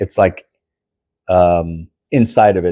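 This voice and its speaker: A man's very deep, low voice has a dark, mellow tone and a dry, close sound with no echo. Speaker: pipe smoking vlogger. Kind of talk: casual monologue review. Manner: sluggish, slightly slurred; hesitant, many fillers.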